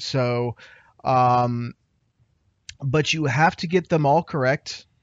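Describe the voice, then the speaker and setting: A man talks with a medium pitch. He has an ordinary speaking voice. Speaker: podcast host. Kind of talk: casual chat. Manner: excitable.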